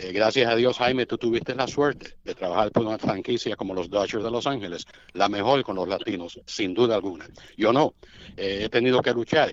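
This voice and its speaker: A man with a normal speaking voice, medium pitch, ordinary pitch variation and a fairly quick pace. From Cuba. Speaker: baseball radio play-by-play announcer. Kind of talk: casual interview chat.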